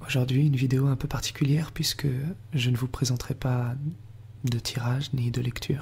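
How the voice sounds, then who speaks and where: A man whispering at a moderate pace, somewhat breathy. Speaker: tarot reader. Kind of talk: ASMR guided relaxation narration. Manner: whispered.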